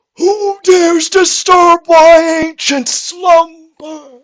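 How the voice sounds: This put-on character voice sits at an extremely high pitch and moves at a very slow pace.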